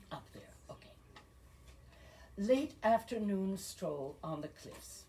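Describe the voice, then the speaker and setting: A woman with a medium pitch speaks very slowly in a somewhat breathy, dark, mellow tone, her pitch swinging very widely. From Belgium. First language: French and Flemish. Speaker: poet. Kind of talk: poetry reading.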